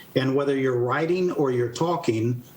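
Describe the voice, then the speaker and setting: At a fairly quick pace, a man speaks with an American accent and fairly even intonation. Noticeable background noise and audible room echo are present. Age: 60s. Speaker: retired army general, author and speaker. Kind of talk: interview.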